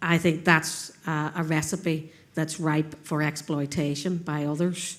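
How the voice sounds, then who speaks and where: A woman speaks in a very deep, low pitch with a Northern Irish accent. Her intonation is monotone and flat, and her pace is fairly slow. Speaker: panel speaker at a conference. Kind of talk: panel discussion. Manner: halting.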